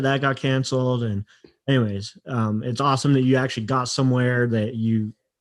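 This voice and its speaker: An unremarkable speaking voice, a man's at medium pitch with a General American accent, moves at a moderate pace with fairly even intonation, dry and close with no echo over a quiet background. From US West, Utah. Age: 40s. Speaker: podcast host. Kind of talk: interview.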